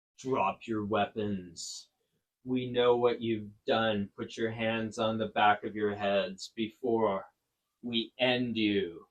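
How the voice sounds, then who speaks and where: A put-on character voice from a man, booming and medium-pitched, in a monotone, flat delivery at a very slow pace. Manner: terrifying; intimidating, commanding.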